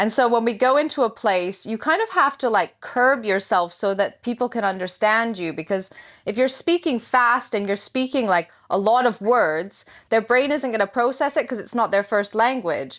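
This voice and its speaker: Moderately paced and fairly high, a woman's voice carries lively intonation in a very clean recording with a silent background. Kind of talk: casual interview chat.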